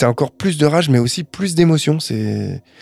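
A man with a dark, mellow tone talks at a fairly quick pace on a very clean recording with a silent background and a dry, close sound with no echo. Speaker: radio music show co-host. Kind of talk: casual chat presenting music picks.

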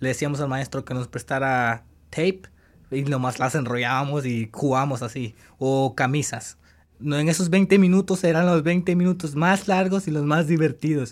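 On a very clean recording with a silent background, a man uses a normal speaking voice at a fairly high pitch and moderate pace with ordinary pitch variation. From El Salvador. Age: 20s. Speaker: former high school soccer player, immigrant. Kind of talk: interview testimony.

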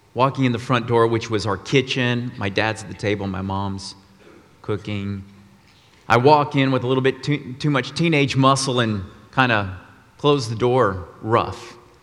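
In an American accent, the speaker talks at a moderate pace with ordinary pitch variation, and the room echo is audible. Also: man, medium pitch for a man. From Texas, Austin. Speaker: guest preacher. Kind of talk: sermon. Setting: church.

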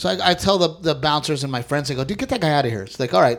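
With an American accent, a man speaks at a very fast pace in a fairly high pitch marked by vocal fry. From South Texas, near Corpus Christi. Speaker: stand-up comedian. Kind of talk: casual chat.

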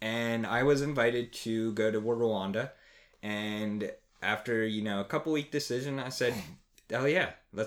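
In a very clean recording with a silent background, a man with an American accent and a normal speaking voice talks at a moderate pace and medium pitch with ordinary variation. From New Jersey, near Trenton. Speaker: after-school program coordinator. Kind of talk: casual chat. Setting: home next to fireplace.

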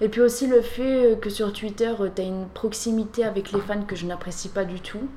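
A woman keeps a moderate pace and fairly even intonation while noticeable background noise runs behind her. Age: 20s. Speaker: former adult film actress. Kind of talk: interview, personal testimony.

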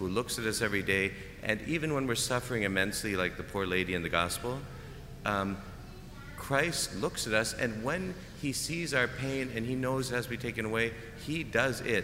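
There is audible room echo as a man speaks at a medium pitch with ordinary pitch variation. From Canada. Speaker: preacher. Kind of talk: homily.

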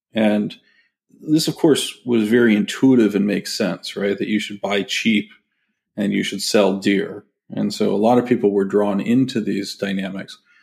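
A plain, everyday voice with a General American accent moves at a moderate pace and fairly even intonation on a very clean recording with a silent background. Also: man, fairly low pitch for a man. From US West Coast, San Francisco Bay Area. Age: 50s. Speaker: fund manager. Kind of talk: interview.

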